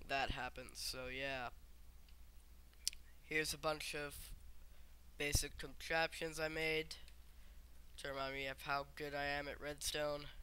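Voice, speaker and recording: Quiet and flat in a monotone, a man speaks in a fairly high pitch with a bright, sharp tone, at a fairly slow pace with long, frequent pauses. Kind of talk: casual gameplay commentary. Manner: quiet, subdued; sarcastic.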